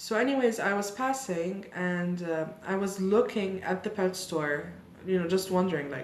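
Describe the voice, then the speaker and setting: Audible room echo and noticeable background noise surround a woman who speaks at a medium pitch and a moderate pace with ordinary pitch variation. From Lebanon. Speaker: YouTuber and opera singer. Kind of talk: casual chat, get-to-know-me Q&A. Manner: chatty, animated.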